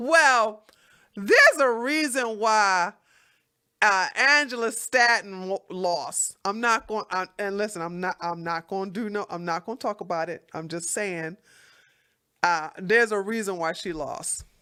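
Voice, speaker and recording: On a very clean recording with a silent background, a woman speaks at a medium pitch and a fairly slow pace, her bright, sharp tone animated and her intonation lively. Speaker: political livestream host. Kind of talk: casual livestream commentary. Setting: livestream.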